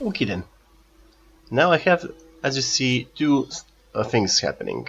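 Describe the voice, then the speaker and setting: A man with a non-native accent speaks at a moderate pace, his pitch swinging very widely. Music plays in the background. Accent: non-native English speaker. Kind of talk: casual gameplay commentary. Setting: cheap home microphone.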